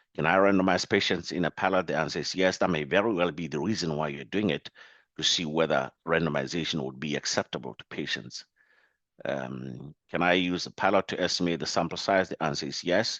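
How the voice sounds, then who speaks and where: Speaking at a fairly quick pace, a man with a very deep, low pitch shows ordinary pitch variation and vocal fry. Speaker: biostatistics professor. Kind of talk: lecture.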